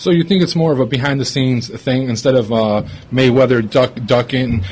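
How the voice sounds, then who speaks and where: Over noticeable background noise, the speaker moves at a fairly quick pace with ordinary pitch variation. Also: man. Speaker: podcast co-host. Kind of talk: casual podcast discussion.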